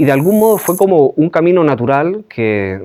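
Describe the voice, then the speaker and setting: A man at a moderate pace with a slight Chilean accent. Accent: Chilean, slight, after twelve years in Spain. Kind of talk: interview testimony. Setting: remote interview from Pamplona. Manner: hesitant, many fillers.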